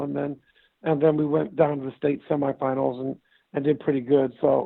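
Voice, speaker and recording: A man speaks with a Midwestern US accent at a moderate pace. His fairly high voice stays in a flat monotone. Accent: US Midwest. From US Midwest (Indiana). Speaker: former basketball player, league founder. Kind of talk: interview. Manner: repetitive, stammering restarts.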